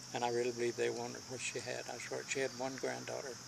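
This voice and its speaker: A man's very fast delivery comes through with noticeable background noise. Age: 80s+. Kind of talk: casual conversation.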